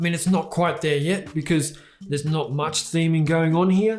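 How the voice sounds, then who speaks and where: Audible room echo surrounds a man speaking at a fairly quick pace with an Australian accent. His pitch is fairly high, with ordinary pitch variation. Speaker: tech reviewer. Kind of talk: product review. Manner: casual, conversational.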